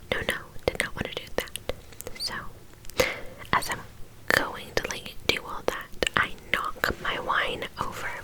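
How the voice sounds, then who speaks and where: Whispering in a gentle tone, a woman speaks fairly slowly with long, frequent pauses against noticeable background noise. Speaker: ASMR creator. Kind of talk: casual talk to camera, mukbang chit chat. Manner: gentle, whispering.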